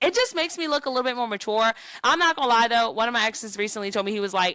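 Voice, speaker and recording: At a very fast pace, a woman with a fairly high pitch sounds bright and sharp, her tone animated and her intonation lively. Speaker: podcast co-host. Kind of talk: casual chat.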